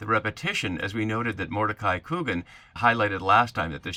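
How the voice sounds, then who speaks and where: On a very clean recording with a silent background, a man speaks very fast at a fairly low pitch in a bright, sharp tone. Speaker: Bible teacher. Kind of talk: lecture.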